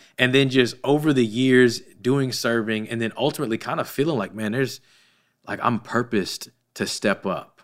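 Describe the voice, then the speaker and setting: With a plain, everyday voice, a man speaks at a moderate pace and medium pitch, his intonation fairly even, on a very clean recording with a silent background. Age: 30s. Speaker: gym owner and church volunteer leader. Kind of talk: podcast interview.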